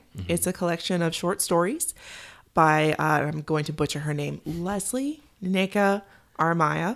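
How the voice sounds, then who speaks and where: Recorded very cleanly against a silent background, a woman with an unremarkable speaking voice talks at a moderate pace, with fairly low pitch and ordinary pitch variation. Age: 30s. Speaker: podcast guest. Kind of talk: casual chat. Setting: studio.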